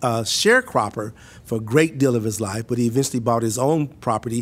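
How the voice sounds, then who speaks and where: A man with an American accent speaks at a moderate pace in an ordinary speaking voice, medium in pitch, with ordinary pitch variation. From US South, Mississippi. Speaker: university administrator and professor. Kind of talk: podcast interview.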